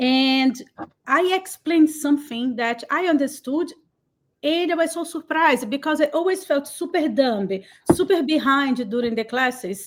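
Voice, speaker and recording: A woman with a Brazilian Portuguese accent speaks in a high pitch at a fairly slow pace, with ordinary pitch variation. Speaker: cloud community builder. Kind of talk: interview. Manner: animated.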